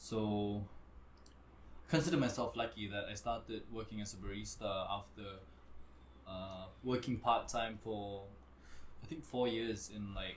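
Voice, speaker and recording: Somewhat breathy, a man with fairly low pitch and ordinary pitch variation speaks at a fairly slow pace, with long, frequent pauses. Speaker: restaurant general manager, former model. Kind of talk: casual chat. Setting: live podcast. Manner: casual, hesitant with fillers.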